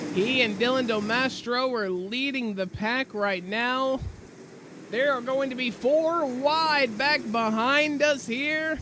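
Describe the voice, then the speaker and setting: Over noticeable background noise, a man with an extremely high pitch speaks very slowly in a raised, projected voice with ordinary pitch variation. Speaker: sim racing commentator. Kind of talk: live commentary. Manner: animated.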